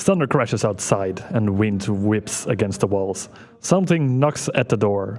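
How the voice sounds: A natural reading voice with lively intonation carries the lines.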